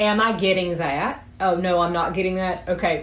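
With a Southern US accent, a woman speaks at a moderate pace and medium pitch with fairly even intonation over noticeable background noise. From South Georgia, US. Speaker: sex therapist and psychotherapist. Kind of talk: casual interview answers.

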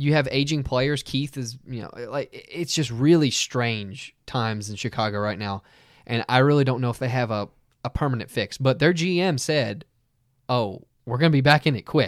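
On a very clean recording with a silent background, a man with a plain, everyday voice speaks at a medium pitch with ordinary pitch variation. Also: moderate pace. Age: 20s. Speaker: hockey podcast co-host. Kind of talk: casual chat. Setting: studio.

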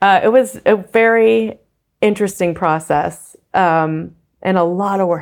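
Recorded very cleanly over a silent background, a woman with an American accent and an unremarkable speaking voice talks at a fairly slow pace with lively intonation. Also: medium pitch for a woman. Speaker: casting director. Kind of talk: casual chat.

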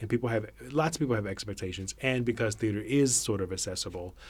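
Speaking fairly quickly, a man has a somewhat breathy voice. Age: 40s. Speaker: theatre artistic director. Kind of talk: casual chat.

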